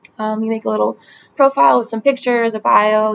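Against light background noise, a woman with an American accent speaks at a moderate pace. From US Northeast (New Jersey). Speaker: vlogger applying for a brand ambassador role. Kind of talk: application video monologue. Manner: casual with frequent fillers. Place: home room. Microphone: webcam.

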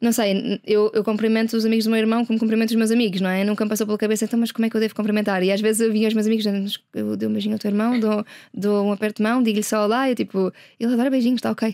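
A woman speaks at a very fast pace in a dark, mellow tone with a fairly high pitch. Her intonation is monotone and flat, and her loudness very even. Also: quiet background. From Portugal, Carnaxide (Lisbon area); Portugal. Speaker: sustainability entrepreneur and activist; interview guest. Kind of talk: interview. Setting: studio. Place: studio. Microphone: studio mic.

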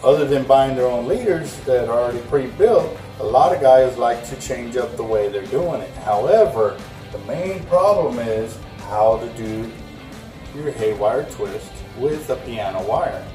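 A man talking at a fairly slow pace, with audible room echo and clear music in the background. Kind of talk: tutorial. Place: shop.

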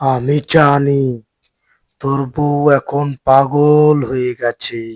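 In a cartoonish character voice, a man with a fairly high pitch talks at a very slow pace in a flat monotone, the sound dry and close with no echo. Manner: authoritative, solemn.

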